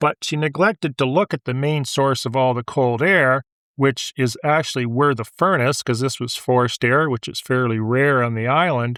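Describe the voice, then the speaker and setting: On a very clean recording with a silent background, a man with a Maritime Canadian accent talks at a moderate pace with ordinary pitch variation and hardly any pauses. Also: medium pitch for a man, dry, close sound with no echo. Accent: Canadian (Maritimes). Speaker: real estate agent and show host. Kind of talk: casual podcast chat. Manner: calm.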